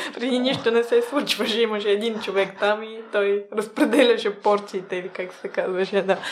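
Speaking at a moderate pace with hardly any pauses, a woman uses a fairly high voice and fairly even intonation over noticeable background noise. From small town in Bulgaria. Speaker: food-waste startup co-founder. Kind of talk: interview. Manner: hesitant, many filler sounds.

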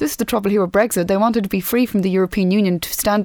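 A woman talks very fast in an Irish accent, at a medium pitch with ordinary pitch variation. The sound is dry and close, with no echo. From Ireland. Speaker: podcast host. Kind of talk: interview. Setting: studio.

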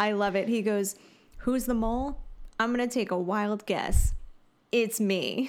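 A woman with a fairly high voice speaks at a fairly slow pace, with ordinary pitch variation and long, frequent pauses. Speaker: podcast co-host recapping reality TV. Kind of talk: casual recap chat.

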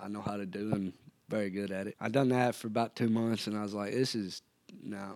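This man has a Tennessee accent. He talks at a fairly quick pace with fairly even intonation. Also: fairly low pitch for a man. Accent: US Southern (Tennessee). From Tennessee (Erin). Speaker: cowboy and bull rider. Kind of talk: casual interview.

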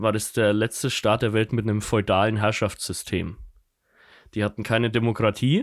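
Over a very clean recording with a silent background, a man speaks in a fairly low, monotone, flat voice at a moderate pace with very even loudness. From Germany, Kulmbach (Upper Franconia). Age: 20s. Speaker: podcast co-host. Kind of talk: casual chat.

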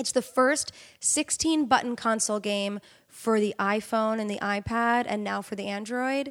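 Animated American-accented woman at a fairly high pitch and moderate pace, on a very clean recording with a silent background. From New York State, Middletown. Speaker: actress and voice actor. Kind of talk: casual chat.

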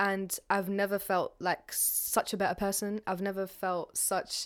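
A woman with a London accent talks fairly slowly at a medium pitch in a very clean recording with a silent background. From North London. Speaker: writer and performer. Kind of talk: interview. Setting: apartment in London.

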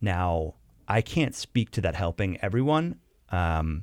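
The sound is dry and close with no echo, in a very clean recording with a silent background. A man speaks at a fairly low pitch. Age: 30s. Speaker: widower of a shooting victim. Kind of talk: interview testimony. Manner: halting, many fillers and repetitions.

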